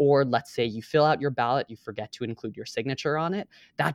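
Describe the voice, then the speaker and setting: With an American accent and an unremarkable speaking voice, a man talks at a fairly quick pace with ordinary pitch variation, the sound dry and close with no echo against a quiet background. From Boston area, Massachusetts. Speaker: state government staffer and voting rights volunteer. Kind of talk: interview.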